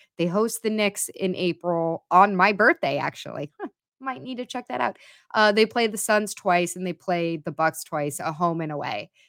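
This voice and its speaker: Speaking at a moderate pace with ordinary pitch variation, a woman has an ordinary speaking voice at medium pitch, recorded dry and close with no echo on a very clean track with a silent background. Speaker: sports podcast host. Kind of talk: casual chat.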